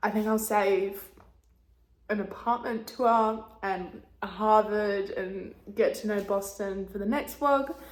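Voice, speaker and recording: A woman with an Australian accent speaks very slowly in a fairly high voice, her intonation fairly even. Room echo is audible. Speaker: vlogger. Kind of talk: casual vlog talk to camera.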